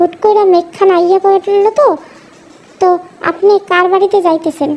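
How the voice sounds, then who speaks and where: A put-on character voice with fairly even intonation, a moderate pace and very even loudness. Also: woman, extremely high pitch for a woman. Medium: read story. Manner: earnest, insistent.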